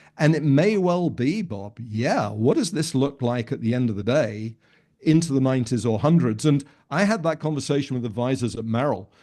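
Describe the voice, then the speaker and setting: Against a quiet background, a man speaks with lively intonation. His tone is dark and mellow, at a moderate pace. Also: medium pitch for a man. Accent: British. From United Kingdom. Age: 60s. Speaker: financial advisor coach. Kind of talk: podcast interview. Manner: halting, with repeated words.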